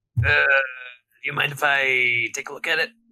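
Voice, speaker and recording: A man puts on a character voice at a medium pitch. He talks at a fairly quick pace. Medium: actual play.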